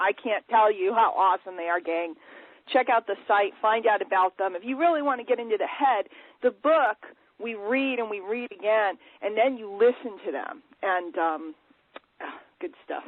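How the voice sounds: A woman at medium pitch, with ordinary pitch variation and a moderate pace, in a dry, close sound with no echo.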